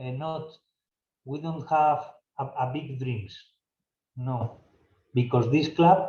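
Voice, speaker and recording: Speaking very slowly in a Spanish accent, a man with a fairly high pitch for a man has a dark, mellow tone, a somewhat breathy quality, and ordinary pitch variation. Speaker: football club director. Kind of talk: Q&A session. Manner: halting.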